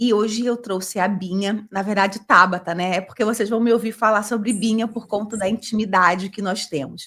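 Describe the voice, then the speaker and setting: A woman's medium-pitched voice, a normal speaking voice, with fairly even intonation, a moderate pace and hardly any pauses. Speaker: podcast host. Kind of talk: casual interview.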